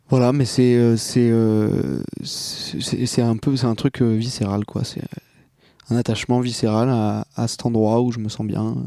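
With a dark, mellow tone, a man speaks at a very slow pace and with fairly even intonation. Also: medium pitch for a man. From Marseille, southern France. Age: 20s. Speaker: podcast guest, younger brother. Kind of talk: casual conversation. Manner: halting.

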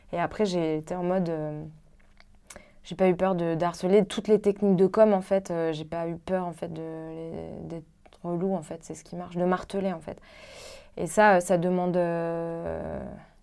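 A woman with a fairly low pitch and a dark, mellow tone speaks at a fairly slow pace with long, frequent pauses. Her intonation is monotone and flat, yet her loudness swings widely. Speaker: comic book author. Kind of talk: casual group discussion.

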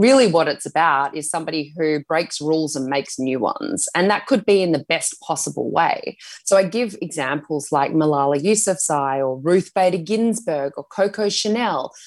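A woman's normal speaking voice, fairly low in pitch, at a moderate pace with lively intonation. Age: 30s. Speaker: author and health journalist. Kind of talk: casual interview.

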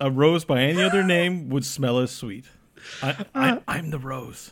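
This man has a fairly high pitch with ordinary pitch variation. He talks at a fairly slow pace. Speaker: podcast co-host.

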